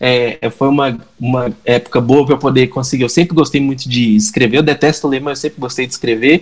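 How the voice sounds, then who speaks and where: A man with a mineiro accent talks with hardly any pauses. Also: medium pitch for a man, fairly quick pace. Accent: mineiro accent, clipped words. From Minas Gerais, Brazil. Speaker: digital marketing entrepreneur. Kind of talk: podcast interview. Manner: animated.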